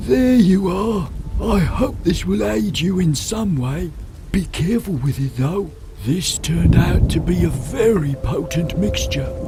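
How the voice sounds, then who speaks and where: Amid clear background noise, a man uses a put-on character voice at a fairly slow pace. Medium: video game. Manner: gentle, measured.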